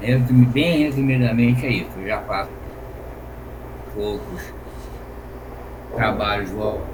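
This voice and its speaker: Over noticeable background noise and audible room echo, a man speaks at a very slow pace with long, frequent pauses. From Brazil, Rio de Janeiro. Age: 60s. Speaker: retired engineer, volunteer. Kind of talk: casual self-introduction. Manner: halting, many fillers.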